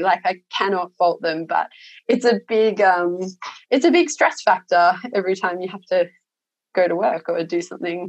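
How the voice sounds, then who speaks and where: A woman talks with an Australian accent at medium pitch. Her pace is moderate. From Australia, Sydney (Cronulla). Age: 30s. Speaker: sheep and lentil farmer. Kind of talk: casual interview chat.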